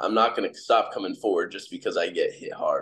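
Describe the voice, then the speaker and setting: A man talks at a very fast pace. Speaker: MMA fighter. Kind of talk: interview. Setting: video call. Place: home room. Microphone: video call.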